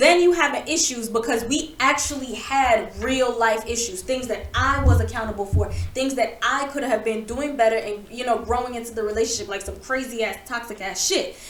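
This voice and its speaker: Loud and animated, a woman speaks at a fairly quick pace with a high pitch, ordinary pitch variation and hardly any pauses, amid audible room echo and noticeable background noise. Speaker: podcast co-host. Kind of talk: casual chat.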